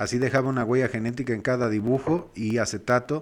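Against a quiet background, a man has an unremarkable speaking voice with ordinary pitch variation. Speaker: podcast co-host. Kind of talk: casual chat.

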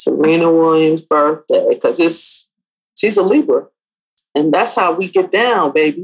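A woman speaks at a moderate pace. Her loudness stays very even. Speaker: podcast co-host. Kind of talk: casual chat between spouses.

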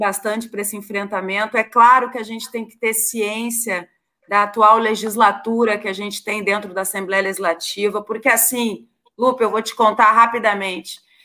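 Bright and sharp, a woman's fairly high voice moves at a moderate pace. Her loudness swings widely. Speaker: state legislator. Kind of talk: casual political chat.

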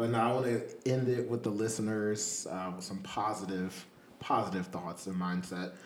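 Speaking at a fairly slow pace, a man with an American accent uses a fairly low pitch with ordinary pitch variation, a plain, everyday voice. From Virginia. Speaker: podcast host. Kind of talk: casual chat. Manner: laid-back, profane.

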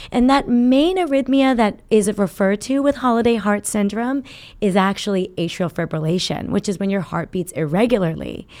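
A woman talks at a medium pitch with lively intonation. The recording is very clean, the background silent. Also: moderate pace. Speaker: cardiologist. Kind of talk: interview. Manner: calm.

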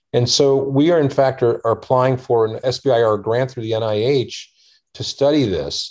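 A man with an American accent talks at a moderate pace in an ordinary speaking voice. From US, Washington D.C. area. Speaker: surgeon and health tech founder. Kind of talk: interview.

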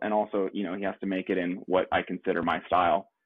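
A man with an American accent speaks at a fairly quick pace in a fairly low pitch, a normal speaking voice. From US West Coast, San Diego, California. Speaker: hat maker. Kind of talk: casual interview chat.

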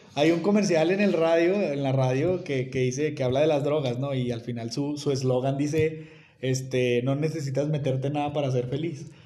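A man's fairly high-pitched voice at a moderate pace with hardly any pauses, amid audible room echo and noticeable background noise. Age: 30s. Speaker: NFL podcast co-host. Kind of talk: casual sports chat. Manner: animated.

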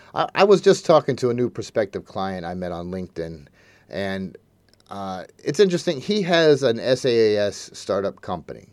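Medium-pitched male speech at a moderate pace, with very wide pitch swings and big swings in loudness, in a very clean recording over a silent background. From United States. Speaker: podcast host, outsourcing business developer. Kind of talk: solo podcast monologue. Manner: casual, some filler words.

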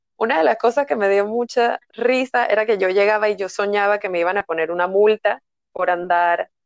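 Recorded with a dry, close sound and no echo, a woman speaks at a moderate pace using ordinary pitch variation. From Panama. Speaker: energy therapist. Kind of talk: casual interview. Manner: calm, soothing.

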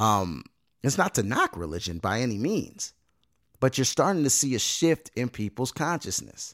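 A man's medium-pitched voice with vocal fry and very wide pitch swings, at a moderate pace, in a dry, close sound with no echo on a very clean recording with a silent background. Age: 30s. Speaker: podcast host. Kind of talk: casual monologue. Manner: halting, many fillers and repeated words.

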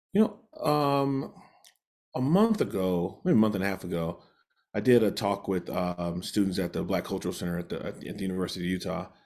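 With an American accent, a man of fairly low pitch talks at a fairly quick pace with ordinary pitch variation on a very clean recording with a silent background. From US Midwest (Gary, Indiana). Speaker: lawyer and consultant. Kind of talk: interview. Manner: halting, many fillers.

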